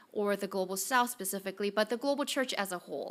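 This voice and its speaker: Recorded very cleanly with a silent background, a woman with a non-native accent speaks in a fairly high pitch and a bright, sharp tone, with ordinary pitch variation. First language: not English. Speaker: director of a mission study center. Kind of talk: conference presentation.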